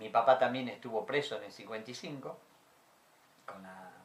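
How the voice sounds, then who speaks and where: With audible room echo, a man speaks at a fairly slow pace. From Argentina, Jujuy (Libertador General San Martín). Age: 60s. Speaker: dictatorship survivor, witness. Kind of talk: interview testimony.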